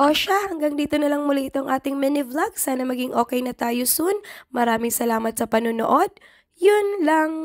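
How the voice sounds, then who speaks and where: Lively intonation at a moderate pace. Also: woman, high pitch for a woman. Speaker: vlogger. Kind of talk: voice-over narration.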